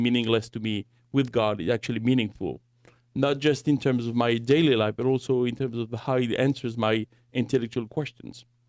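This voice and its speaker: A man with a French accent speaks at a medium pitch and a fairly quick pace, his intonation fairly even, in a dry, close recording with no echo. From France. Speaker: Bible college director and apologetics teacher. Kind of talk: podcast interview. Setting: studio.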